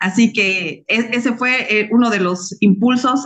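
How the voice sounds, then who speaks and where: With a quiet background behind her, a woman is talking. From Bolivia. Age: 40s. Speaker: civil engineer and network marketing consultant; guest. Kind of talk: personal testimony. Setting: video call. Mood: warm, heartfelt. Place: home room. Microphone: video call.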